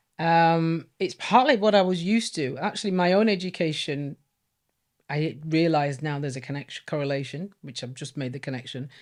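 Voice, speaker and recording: A woman with a very deep, low pitch and a Yorkshire accent, big swings in loudness, on a very clean recording with a silent background. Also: ordinary pitch variation, fairly quick pace. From northern England, Leeds. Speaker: former teacher. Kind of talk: interview testimony.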